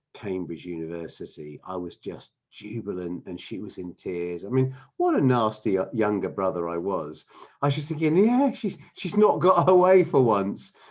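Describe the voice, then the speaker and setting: A fairly low-pitched man with a southern English accent at a moderate pace, very wide pitch swings and big swings in loudness, against a quiet background. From England, London (Wimbledon). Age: 60s. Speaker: business founder. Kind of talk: interview. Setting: podcast recording. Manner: halting, many fillers and repeats.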